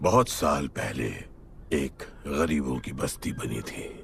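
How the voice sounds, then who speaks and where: Over clear background noise, a man uses a raspy put-on character voice, very deep and low in pitch, at a very slow pace. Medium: fan dub. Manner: terse, serious.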